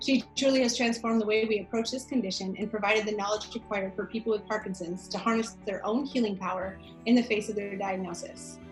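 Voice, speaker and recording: Music plays in the background as a woman talks at a very fast pace with hardly any pauses. Her pitch is fairly high and her intonation fairly even. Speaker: naturopathic doctor. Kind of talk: scripted introduction.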